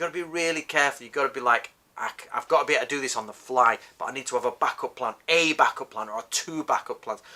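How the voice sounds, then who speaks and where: Here a man talks with a Northern English accent. His pace is very fast. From northern England. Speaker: martial arts teacher. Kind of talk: tutorial. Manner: casual, conversational with self-corrections.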